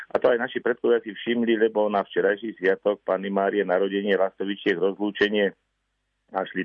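Fairly low in pitch, a man speaks in a plain, everyday voice. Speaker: ornithologist. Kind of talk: radio interview. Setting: phone call. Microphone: phone line.

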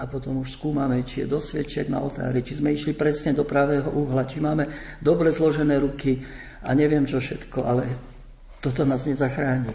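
Through noticeable background noise, a man speaks at a moderate pace and fairly high pitch in a monotone, flat delivery. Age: old. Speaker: priest and missionary. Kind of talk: radio panel discussion.

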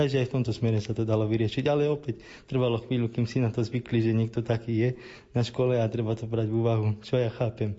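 A man talks at a very fast pace with a somewhat breathy, medium-pitched voice, monotone, flat intonation and very even loudness. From Slovakia, Rimavská Sobota. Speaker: doctoral student, wheelchair user. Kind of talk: interview.

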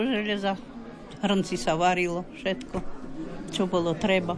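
Her intonation is lively as this woman talks at a fairly slow pace. Room echo is audible, with crowd noise in the background. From Slovakia, Hont region (Hrušov). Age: 80s+. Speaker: village elder demonstrating folk traditions. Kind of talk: interview. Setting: folk house at festival.

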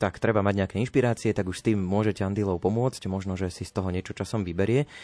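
A man's fairly low, dark and mellow voice at a very fast pace, fairly even in intonation over a quiet background. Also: dry, close sound with no echo. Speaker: radio host. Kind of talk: casual radio chat. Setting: radio studio.

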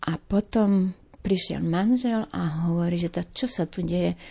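A woman with an eastern Slovak accent against a quiet background. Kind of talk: testimony.

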